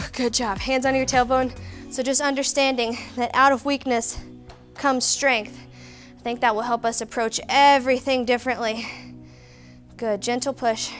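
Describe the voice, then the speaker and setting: Faint music plays behind a woman whose high voice stays monotone and flat. She talks at a moderate pace, broken by long, frequent pauses. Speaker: fitness instructor. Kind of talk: workout instruction and outro. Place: studio. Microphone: headset.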